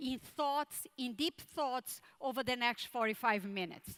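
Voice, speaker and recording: In a Brazilian Portuguese accent, a woman speaks in a bright, sharp tone with lively intonation. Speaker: tech conference speaker. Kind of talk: keynote talk.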